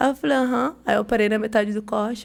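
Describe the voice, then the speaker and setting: With a São Paulo accent, a woman speaks at a fairly quick pace in a fairly high pitch with fairly even intonation. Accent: São Paulo (paulista). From São Paulo, Brazil. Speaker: barber. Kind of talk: podcast interview. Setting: studio.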